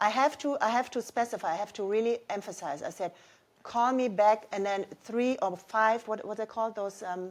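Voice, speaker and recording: A woman with a German accent and a fairly high pitch speaks at a moderate pace with ordinary pitch variation, recorded very cleanly against a silent background. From Germany. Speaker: mother of the hosts. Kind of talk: casual family chat.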